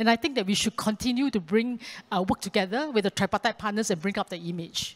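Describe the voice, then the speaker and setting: Very fast and fairly high-pitched, a woman talks with ordinary pitch variation. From Singapore. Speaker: maritime officers' union leader. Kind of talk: panel discussion. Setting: stage with audience. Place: hall. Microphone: handheld.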